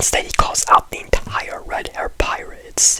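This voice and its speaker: Whispered words come at a fairly slow pace amid noticeable background noise. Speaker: anime commentary youtuber. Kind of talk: video essay commentary. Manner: very quiet.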